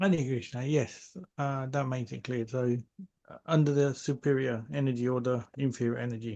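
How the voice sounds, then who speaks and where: A man's dark, mellow voice with fairly even intonation. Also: medium pitch for a man, moderate pace. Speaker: devotee asking a question. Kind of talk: religious Q&A. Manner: quiet.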